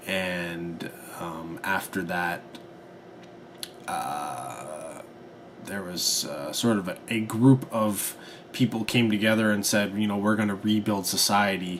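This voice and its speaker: A man mumbling at a very slow pace, fairly low in pitch with ordinary variation, with long, frequent pauses and noticeable background noise. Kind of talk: casual film review vlog to camera. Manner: hesitant, mumbling with fillers.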